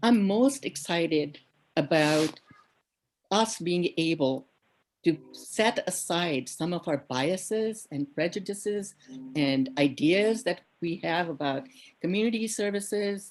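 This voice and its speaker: At a very slow pace, a woman speaks with a fairly low pitch and lively intonation. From India. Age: 70s. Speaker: task force member. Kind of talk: public meeting introduction.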